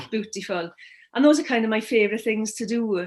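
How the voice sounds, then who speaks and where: A woman with a Welsh accent speaks in a fairly high voice with ordinary pitch variation against a quiet background. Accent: Welsh, lilting. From Wales. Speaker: therapist. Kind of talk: interview.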